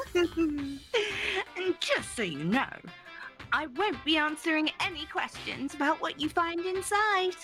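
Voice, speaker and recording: Clear music plays behind a woman doing a put-on character voice. Her pitch is extremely high and her pace fairly slow. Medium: actual play. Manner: playful, mocking, sing-song.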